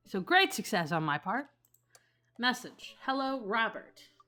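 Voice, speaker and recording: Music plays in the background. A woman with a fairly high pitch makes very wide pitch swings. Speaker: gaming streamer. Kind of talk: let's play commentary, reading game text aloud. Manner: fast.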